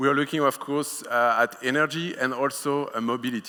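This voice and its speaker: A man with a French accent speaks in a bright, sharp tone. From France. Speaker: conference speaker, wireless product manager. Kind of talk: conference talk. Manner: hesitant, many filler sounds.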